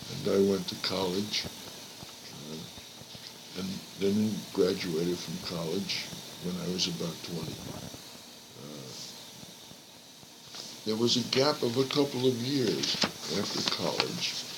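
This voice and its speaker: A man talks at a fairly slow pace in a very deep, low pitch, with lively intonation, big swings in loudness and long, frequent pauses. Noticeable background noise runs behind him. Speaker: grandfather being interviewed about his life. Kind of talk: interview answer, recalling life history. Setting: old cassette recording, poor quality. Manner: slow, hesitant, with pauses and fillers.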